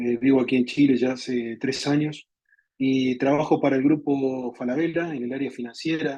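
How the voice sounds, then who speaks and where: With music in the background, a man with an Argentine accent talks at a moderate pace in a fairly high pitch, his intonation fairly even. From Argentina. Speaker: software architect and community leader. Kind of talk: webinar presentation. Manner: repetitive, stumbling on words.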